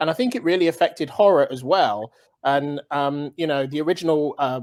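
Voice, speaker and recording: A fairly high-pitched man at a fairly quick pace. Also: ordinary pitch variation. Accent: British. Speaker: horror film director. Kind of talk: casual chat. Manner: halting.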